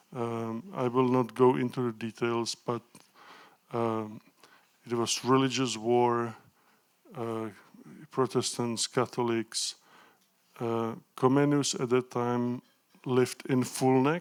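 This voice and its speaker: A man talks at a very slow pace with a Czech accent. His intonation is fairly even, with long, frequent pauses. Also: medium pitch for a man. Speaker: professor of pedagogy. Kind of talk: lecture. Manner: halting.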